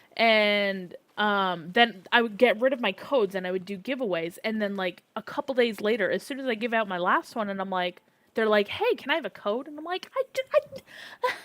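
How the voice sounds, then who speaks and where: A woman talks with an American accent at a fairly high pitch. The sound is dry and close, with no echo. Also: ordinary pitch variation, moderate pace. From Arizona. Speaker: gaming streamer. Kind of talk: live stream chat. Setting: live stream with chat. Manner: casual, filler-heavy.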